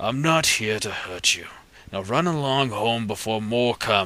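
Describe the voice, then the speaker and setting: A put-on character voice at a moderate pace with ordinary pitch variation. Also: man, medium pitch for a man. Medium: read story. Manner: formal, declamatory.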